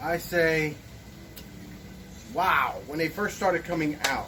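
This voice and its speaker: A man speaks in a raised, projected voice at a very slow pace. Room echo is audible, and there is noticeable background noise. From Puerto Rico. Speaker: DIY woodworking youtuber. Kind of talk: tutorial.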